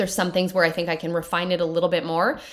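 The delivery is very fast, with an animated, upbeat tone. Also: woman. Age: 30s. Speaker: podcast host. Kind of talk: pep talk. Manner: fired up, animated, upbeat; warm, encouraging, direct address.

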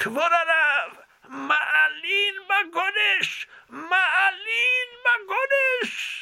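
This is a put-on character voice, loud and extremely high in pitch. It moves at a very slow pace with long, frequent pauses. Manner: really loud, calling out with flair.

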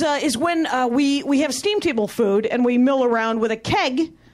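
A woman with an American accent speaks in a high voice. Her pace is moderate, with noticeable background noise. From Wisconsin, factory town outside Milwaukee. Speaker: comedian. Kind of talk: stand-up. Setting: stage with audience.

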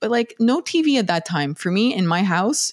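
Her plain, everyday voice has lively intonation, and the woman's recording sounds dry and close with no echo. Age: 40s. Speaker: neuroscientist and podcast host. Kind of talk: casual interview chat.

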